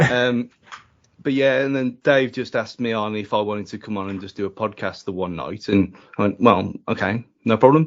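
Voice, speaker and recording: A man talks at a fairly quick pace with a medium pitch and ordinary pitch variation. His loudness swings widely. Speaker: football podcaster. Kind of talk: casual chat. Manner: speaks fast.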